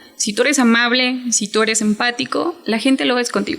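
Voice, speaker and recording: A woman speaks in a fairly high pitch. Noticeable background noise runs beneath her voice. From Mexico, Chiapas. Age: 20s. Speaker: hotel worker and small business owner. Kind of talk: interview.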